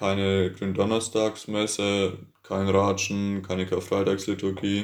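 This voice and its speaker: A man speaks at a very slow pace. His fairly low voice stays monotone and flat. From Bavaria, Franconia (Herrieden). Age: 20s. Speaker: youth church volunteer. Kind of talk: casual chat.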